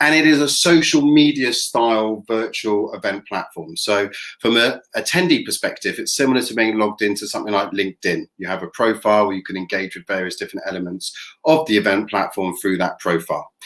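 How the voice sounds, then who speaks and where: A British accent carries this fairly quick delivery, its intonation lively and bouncing. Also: man, medium pitch for a man. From England. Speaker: event tech company representative. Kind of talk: product presentation.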